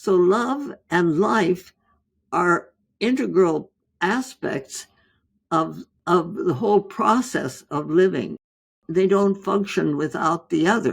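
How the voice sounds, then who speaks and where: Vocal fry runs through very slow speech that has lively intonation and long, frequent pauses. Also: woman, medium pitch for a woman. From India. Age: 80s+. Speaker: physician, author. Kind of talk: interview answer.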